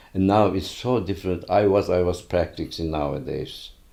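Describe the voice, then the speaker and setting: A man with a Turkish accent speaks in a very deep, low voice with a dark, mellow tone. His pitch varies in an ordinary way on a very clean recording with a silent background. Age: 80s+. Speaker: retired pediatrician. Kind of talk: interview. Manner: halting.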